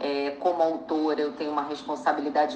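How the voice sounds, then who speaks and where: With audible room echo, a woman talks at a very deep, low pitch. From Brazil. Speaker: actress and screenwriter. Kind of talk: interview.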